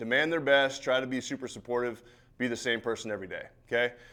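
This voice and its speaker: The delivery is fairly quick and animated in tone. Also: man. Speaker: football coach. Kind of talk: seminar talk. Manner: loud at times.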